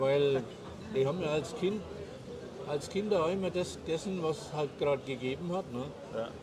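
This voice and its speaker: A man with a fairly high pitch and ordinary pitch variation at a moderate pace, with long, frequent pauses and noticeable background noise. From Germany. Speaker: expat advisor in Paraguay. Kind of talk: casual interview over a meal.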